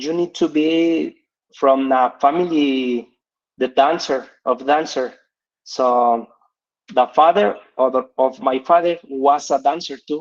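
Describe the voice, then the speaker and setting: With long, frequent pauses and a very slow pace, a man at a fairly high pitch speaks with ordinary pitch variation. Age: 30s. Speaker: English learner presenter. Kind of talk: presentation. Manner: halting.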